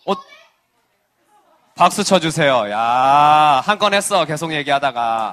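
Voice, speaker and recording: Speaking slowly in a Busan accent, a man uses very wide pitch swings at a fairly slow pace. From South Korea, Busan (Geumjeong-gu). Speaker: children's pastor. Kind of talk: sermon to children. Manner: animated.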